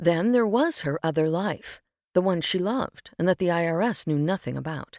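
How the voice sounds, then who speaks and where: With a plain, everyday voice, a woman speaks at fairly low pitch and a moderate pace with ordinary pitch variation. The recording is very clean with a silent background, dry and close with no echo. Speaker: voice actor, audiobook narrator. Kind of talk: audiobook narration, fiction reading.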